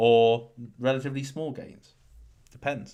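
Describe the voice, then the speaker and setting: Recorded very cleanly over a silent background, a man speaks at a moderate pace. His medium-pitched voice has a bright, sharp tone. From England. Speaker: crypto YouTuber and course seller. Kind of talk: livestream chat reading super chats. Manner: casual, filler-heavy.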